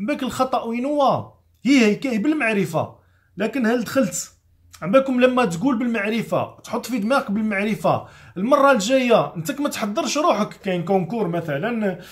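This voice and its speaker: A man talks at a moderate pace in a high voice with an animated tone and lively intonation. The background is quiet. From Algeria. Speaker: chef and political commentator; political commentator. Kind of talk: motivational vlog monologue. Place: home room.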